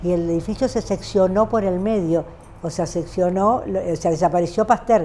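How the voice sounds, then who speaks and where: At a moderate pace and with ordinary pitch variation, the speech carries a dark, mellow tone. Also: woman. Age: 70s. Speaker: terrorist attack survivor, accountant. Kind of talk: testimony. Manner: halting, many fillers and restarts.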